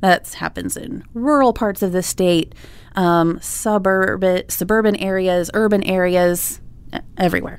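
At a fairly slow pace, a woman uses a normal speaking voice at medium pitch with ordinary pitch variation. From Iowa, Des Moines. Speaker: nonprofit co-founder. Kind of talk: interview.

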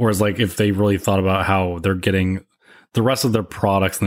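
Recorded very clean over a silent background, a man with an American accent speaks at a fairly low pitch with fairly even intonation, an unremarkable speaking voice. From upstate New York. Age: 30s. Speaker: podcaster. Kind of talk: casual chat.

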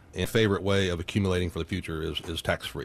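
A man's very deep, low voice at a very fast pace against a quiet background. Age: 50s. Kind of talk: casual financial chat.

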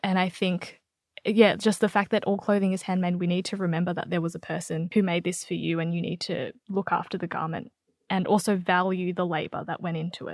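In a very clean recording with a silent background, a woman with an Australian accent speaks at a medium pitch and a fairly quick pace, her intonation monotone and flat. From Australia, Melbourne. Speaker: writer and magazine editor. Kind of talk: interview.

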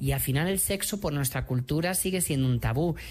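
A man speaks at a fairly high pitch. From Madrid, Spain. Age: 30s. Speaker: HIV activist and author. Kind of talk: interview.

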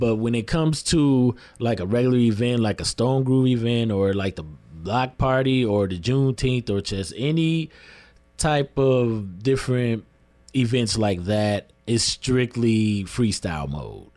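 At a fairly slow pace, a man with an American accent uses a plain, everyday voice of medium pitch and ordinary pitch variation, recorded very cleanly against a silent background. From Lansing, Michigan (South Side). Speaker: DJ. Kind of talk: radio interview.

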